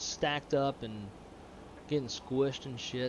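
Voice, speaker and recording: A man with an American accent speaks at fairly high pitch with ordinary pitch variation. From Louisiana. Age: 30s. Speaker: flight sim streamer. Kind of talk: casual live stream chat. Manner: casual, cussing.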